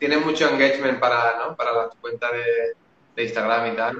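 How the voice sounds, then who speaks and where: A man speaks at a fairly quick pace. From Spain, Valencia. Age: 30s. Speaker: Facebook ads marketer. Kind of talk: casual chat.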